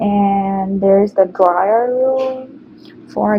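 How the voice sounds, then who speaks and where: A woman speaks with a Bengali accent at a medium pitch. Her pitch rises and falls in an ordinary way. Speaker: vlogger. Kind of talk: casual vlog narration. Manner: hesitant, with fillers.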